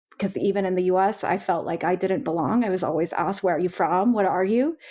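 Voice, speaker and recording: With a Californian accent, a woman speaks at a medium pitch with ordinary pitch variation. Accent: American (Californian). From California, raised by Colombian immigrant family. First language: Spanish. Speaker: learning and development trainer. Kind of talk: podcast panel discussion.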